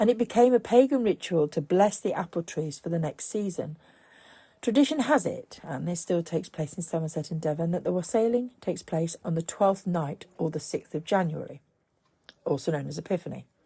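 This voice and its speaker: Fairly low in pitch, a woman's dark, mellow, somewhat breathy voice moves at a fairly quick pace with lively intonation. The recording is very clean with a silent background. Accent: British. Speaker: pagan podcaster. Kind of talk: podcast talk on pagan folklore.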